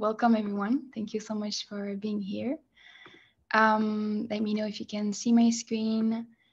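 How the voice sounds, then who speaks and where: Against a quiet background, a woman with a fairly high pitch speaks in a flat, monotone way, her voice somewhat breathy. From France. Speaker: user researcher. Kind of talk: presentation. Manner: hesitant, many fillers.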